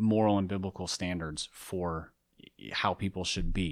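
A man with an American accent has an ordinary speaking voice, pitched fairly low, with ordinary pitch variation. The recording is very clean, with a silent background. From US, urban area. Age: 30s. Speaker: author and podcaster. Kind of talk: interview conversation.

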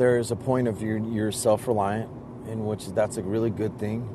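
A man's voice amid noticeable background noise. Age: 50s. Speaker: caller on live show. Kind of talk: casual chat.

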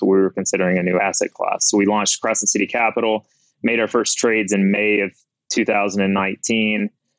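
Over music in the background, a man with a fairly low pitch speaks in a flat monotone at a moderate pace, in a dry, close sound with no echo. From Mississippi. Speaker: crypto fund manager. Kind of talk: interview.

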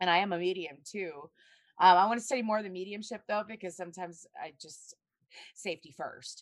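A woman with an American accent speaks at a fairly quick pace, her medium pitch showing ordinary variation. She has an unremarkable speaking voice, and her loudness swings widely. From US South. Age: 30s. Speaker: astrologer and psychic. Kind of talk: casual chat. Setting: video call.

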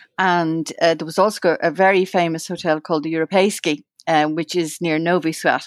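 A woman's fairly low voice, dry and close with no echo, on a very clean recording with a silent background. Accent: Irish. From Ireland. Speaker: journalist and researcher. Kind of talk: interview reminiscence. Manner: halting, many fillers and repeats.

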